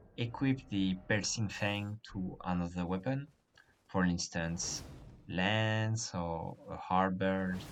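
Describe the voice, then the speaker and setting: A man with a French accent and a very deep, low pitch speaks very slowly with fairly even intonation. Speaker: gaming guide creator. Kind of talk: game tutorial narration.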